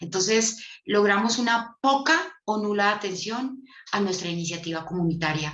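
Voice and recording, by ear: A woman at medium pitch uses a fairly bright tone, a moderate pace and ordinary pitch variation, with audible room echo.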